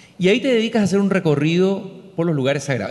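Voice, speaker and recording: A man with a Chilean accent talks at a very fast pace. His pitch swings very widely. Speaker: columnist and interviewer. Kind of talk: public conversation. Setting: stage with audience.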